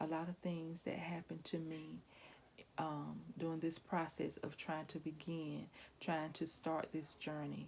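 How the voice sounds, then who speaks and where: A soft-spoken woman talks at a fairly slow pace in a very deep, low voice. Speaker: pastor's wife vlogger. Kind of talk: casual vlog monologue. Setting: at home. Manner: hesitant, many fillers.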